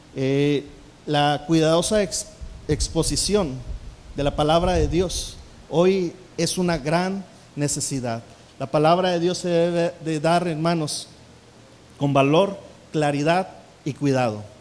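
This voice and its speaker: A man speaks at a very slow pace with long, frequent pauses and fairly high pitch. His pitch variation is ordinary, and background noise is noticeable. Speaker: pastor teaching preaching. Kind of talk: sermon-style lecture on preaching. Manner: hesitant, many fillers.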